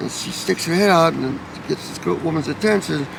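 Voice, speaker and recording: Over noticeable background noise, a man with an American accent speaks at a fairly high pitch. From Los Angeles, US. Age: 60s. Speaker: homeless man. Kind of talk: interview.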